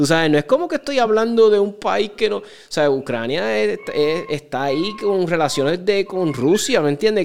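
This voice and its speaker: A man with a Puerto Rican accent and very wide pitch swings, in a very clean recording with a silent background. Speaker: podcast host. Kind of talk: casual interview.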